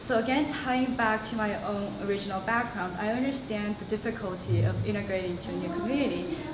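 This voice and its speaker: Over noticeable background noise, a woman with an American accent talks at a fairly quick pace with hardly any pauses, at a medium pitch with ordinary pitch variation. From Shanghai, China, then Los Angeles and Connecticut. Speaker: student council candidate. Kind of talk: campaign speech.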